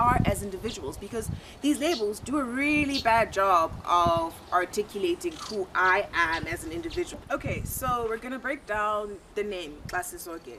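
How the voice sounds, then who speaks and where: Over noticeable background noise, a woman with a South African accent speaks at a moderate pace, her fairly high pitch swinging very widely. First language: isiXhosa. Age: 20s. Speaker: YouTuber and university student. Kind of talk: channel introduction monologue.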